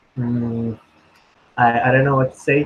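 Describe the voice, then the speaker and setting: A man speaks over noticeable background noise. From Indonesia (Surabaya). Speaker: international student. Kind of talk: casual interview. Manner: hesitant, many fillers.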